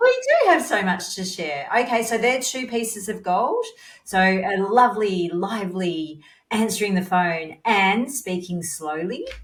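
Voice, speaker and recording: A woman at medium pitch, lively in intonation and fairly slow in pace, with audible room echo. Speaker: podcast host, dental practice consultant. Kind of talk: interview.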